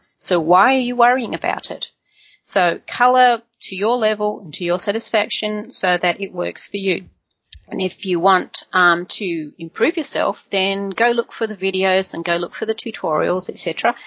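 A woman with an Australian accent at medium pitch. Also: ordinary pitch variation, moderate pace. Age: 50s. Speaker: colouring YouTuber. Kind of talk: interview.

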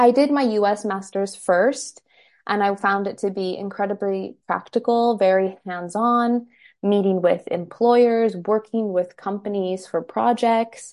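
A woman with an American accent and a medium pitch, with fairly even intonation and a fairly slow pace, against a quiet background. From US, Los Angeles. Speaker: blogger and consultant. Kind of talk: interview.

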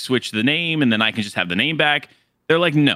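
A man with a plain, everyday voice, medium in pitch, with lively intonation. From Florida. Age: 20s. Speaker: gaming content creator. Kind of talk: casual chat.

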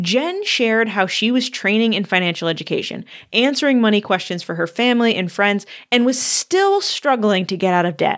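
Using an unremarkable speaking voice, a woman talks at a fairly quick pace with lively intonation and a fairly high pitch. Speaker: podcast host. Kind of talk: casual interview chat.

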